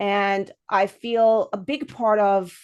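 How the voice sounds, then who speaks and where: Her voice has a non-native accent and a medium pitch. This woman is recorded against a quiet background. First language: not English. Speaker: podcast host. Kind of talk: casual interview chat.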